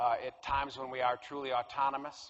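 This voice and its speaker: Talking in a flat monotone, a man with a Connecticut accent and a fairly high pitch keeps a fairly quick pace. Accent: Connecticut American. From US Northeast, Connecticut. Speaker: professor and clinical psychologist. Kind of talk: public lecture.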